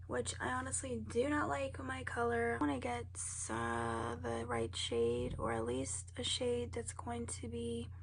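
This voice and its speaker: A woman's very deep, low voice at a fairly slow pace, over noticeable background noise. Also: ordinary pitch variation. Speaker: beauty vlogger. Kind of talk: casual makeup tutorial talk to camera.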